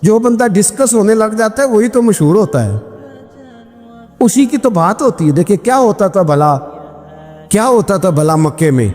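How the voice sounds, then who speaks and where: A man speaks with a high pitch and lively intonation, his loudness very even. Music plays in the background. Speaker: Islamic preacher. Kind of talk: Islamic sermon (bayan) with storytelling. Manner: emotive, preaching.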